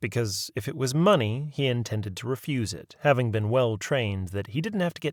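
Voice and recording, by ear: The text is read aloud in a natural voice.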